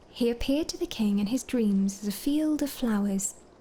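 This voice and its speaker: Calm, dark, mellow tone, somewhat breathy, with lively intonation at a fairly slow pace. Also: woman. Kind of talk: lore book reading, bedtime story ASMR. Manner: soft-spoken, calm.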